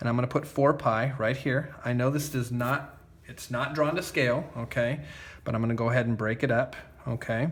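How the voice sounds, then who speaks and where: This man talks at a fairly quick pace in a medium pitch. His somewhat breathy voice keeps a fairly even intonation. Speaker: math teacher. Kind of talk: tutorial. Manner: casual, many fillers like okay.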